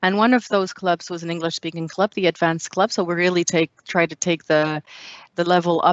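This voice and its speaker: A woman with a French accent, fairly low pitch, fairly even intonation and a fairly quick pace. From France. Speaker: public speaking club member. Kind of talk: interview.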